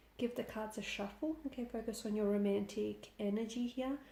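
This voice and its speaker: A somewhat breathy, dark, mellow voice with ordinary pitch variation at a moderate pace. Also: woman. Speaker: tarot reader. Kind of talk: tarot reading.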